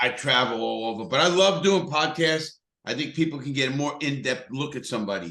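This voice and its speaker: A man's fairly high voice with a strong New York accent, bright, sharp tone, vocal fry and lively intonation. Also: fairly quick pace. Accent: thick New York. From New York City (Bronx, Brooklyn). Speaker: motivational speaker, ex-convict. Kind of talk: podcast interview.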